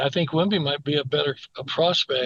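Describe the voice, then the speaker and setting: Here a man talks at a moderate pace. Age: 60s. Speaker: basketball commentator. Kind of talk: casual chat. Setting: podcast. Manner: animated.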